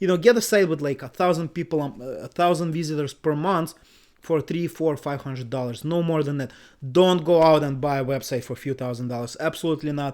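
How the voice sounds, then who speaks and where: Fairly quick and mumbling, a man speaks at a fairly high pitch with ordinary pitch variation on a very clean recording with a silent background. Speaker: website investor YouTuber. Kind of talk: screen-share tutorial commentary. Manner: casual, filler-heavy.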